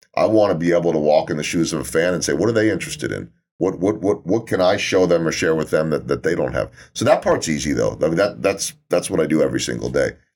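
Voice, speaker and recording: In a very deep, low voice with vocal fry and ordinary pitch variation, a man speaks at a very fast pace. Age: 50s. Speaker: sports television broadcaster and motivational speaker. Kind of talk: casual interview.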